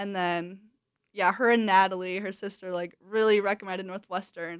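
With a quiet background, a woman with an American accent talks at medium pitch in monotone, flat intonation. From Wisconsin. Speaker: college soccer player. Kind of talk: casual interview.

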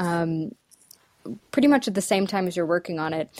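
A woman speaks with an American accent and ordinary pitch variation. The recording is very clean and dry, close with no echo and a silent background. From US Midwest. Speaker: voice, accent and dialect coach. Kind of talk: casual interview conversation.

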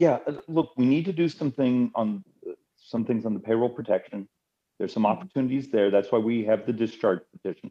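Speaking in a plain, everyday voice, a man keeps a fairly quick pace at medium pitch. His intonation is lively. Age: 50s. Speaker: congressman. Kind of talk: interview.

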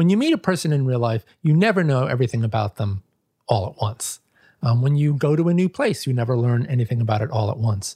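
Speaking very fast with an American accent, a man has a medium-pitched, somewhat breathy voice with a dark, mellow tone and lively intonation, recorded with a dry, close sound with no echo. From New York, the Bronx. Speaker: book editor. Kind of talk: interview.

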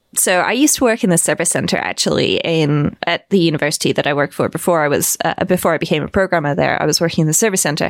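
A woman talks at a very fast pace with hardly any pauses, using a fairly low pitch with vocal fry, ordinary pitch variation and very even loudness, in a dry, close sound with no echo. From southwest England (Bristol). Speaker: writer and podcaster, book author. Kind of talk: casual interview chat.

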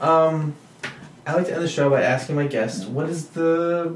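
A man's voice over noticeable background noise. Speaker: podcast host. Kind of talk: casual interview chat.

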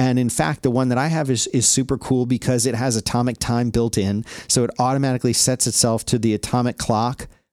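A man with an unremarkable speaking voice talks at a medium pitch with very even loudness, fairly even intonation and hardly any pauses, on a very clean recording with a silent background and a dry, close sound with no echo. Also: fairly quick pace. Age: 40s. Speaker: podcaster. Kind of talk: casual chat.

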